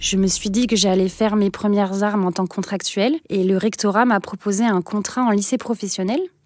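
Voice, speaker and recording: A woman talks at a fairly quick pace with hardly any pauses and very even loudness. Her medium pitch carries fairly even intonation. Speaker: teacher. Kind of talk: interview testimony. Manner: hesitant with frequent fillers.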